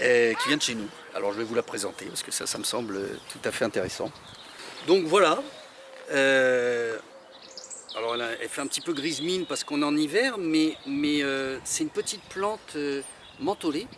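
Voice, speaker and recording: Amid noticeable background noise, a man with a fairly high pitch and lively intonation talks at a moderate pace with long, frequent pauses. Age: 50s. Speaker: association founder, horticulturist. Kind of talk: interview. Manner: hesitant, many fillers.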